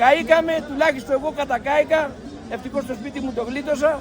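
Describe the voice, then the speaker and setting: Over crowd noise in the background, a man speaks at a moderate pace with an extremely high pitch and fairly even intonation. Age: 70s. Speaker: farmer. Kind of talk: protest speech.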